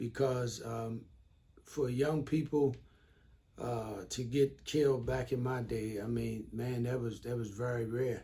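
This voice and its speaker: With fairly even intonation, a man talks in a somewhat breathy, medium-pitched voice that has a dark, mellow tone. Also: fairly slow pace. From Baltimore, Maryland, US. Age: 60s. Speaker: trauma response worker. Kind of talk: interview. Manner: halting, many fillers.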